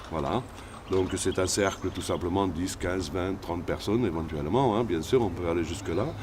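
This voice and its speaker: A man's very deep, low voice, somewhat breathy, with ordinary pitch variation, a moderate pace and audible room echo. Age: 60s. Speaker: shaman healer. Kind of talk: interview.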